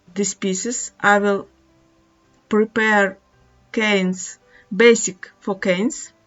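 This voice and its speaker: A woman at a very slow pace and medium pitch, with long, frequent pauses, a non-native accent, and music in the background. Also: fairly even intonation. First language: not English. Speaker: polymer clay artist. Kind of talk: craft tutorial narration. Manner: hesitant.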